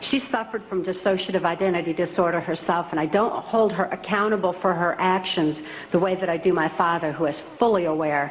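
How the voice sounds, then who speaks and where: A woman with an American accent talks at a fairly quick pace and a fairly low pitch. Her pitch variation is ordinary, and there is noticeable background noise. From US Midwest, Michigan. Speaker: author and public speaker. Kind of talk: public talk.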